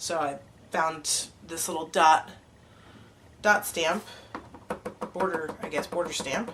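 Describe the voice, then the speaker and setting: Against noticeable background noise, a woman speaks fairly slowly in a fairly low voice with fairly even intonation and long, frequent pauses. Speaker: card-making demonstrator. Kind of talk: tutorial. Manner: casual, hesitant with fillers.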